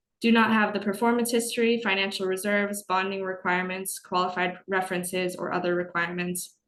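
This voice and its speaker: A woman speaks at a medium pitch in a monotone, flat intonation, with audible echo in the room. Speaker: business webinar presenter. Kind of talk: webinar lecture. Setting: online webinar. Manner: fast.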